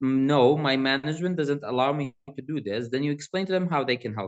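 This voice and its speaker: A man with a Kurdish accent, at a fairly quick pace with lively intonation. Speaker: student presenter. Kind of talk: tutorial. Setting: university hall seminar. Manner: casual, conversational.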